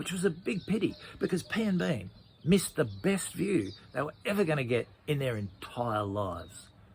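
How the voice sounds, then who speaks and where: A man talks at a moderate pace with a fairly high pitch and vocal fry. His pitch swings very widely. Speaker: children's storyteller. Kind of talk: children's story narration.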